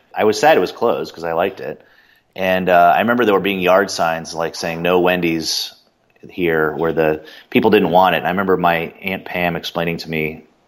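In an American accent, a man with a very deep, low pitch speaks at a fairly quick pace with fairly even intonation. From Boston born, raised Cincinnati. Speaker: Star Wars fan guest. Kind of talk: interview, recalling memories.

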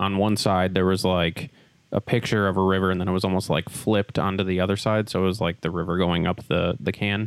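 A man with an American accent speaks at a very fast pace in a very deep, low pitch. His intonation is fairly even and his loudness very even. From Wisconsin, US. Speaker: beer podcast co-host. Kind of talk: casual chat. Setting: brewery tap room.

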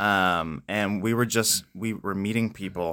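Man with an American accent, fairly low pitch, ordinary pitch variation and a bright, sharp tone, at a moderate pace in a very clean recording with a silent background. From Pennsylvania, US (Spring Grove). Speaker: missionary. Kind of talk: interview.

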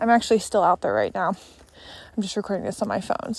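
A woman puts on a raspy character voice at a medium pitch. She talks very fast with fairly even intonation.

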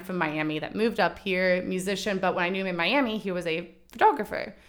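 The recording is very clean, its background silent. A woman talks at a medium pitch. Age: 20s. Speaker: photographer and video artist. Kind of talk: casual interview chat. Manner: animated.

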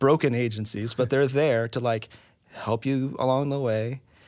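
Using a plain, everyday voice, a man speaks at a medium pitch and a moderate pace with fairly even intonation. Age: 30s. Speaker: adoptive and foster parent. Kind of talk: casual interview conversation.

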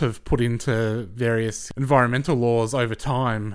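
With an Australian accent, a man of medium pitch talks at a fairly slow pace and with fairly even intonation, on a very clean recording with a silent background. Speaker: guest co-host. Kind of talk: casual political chat.

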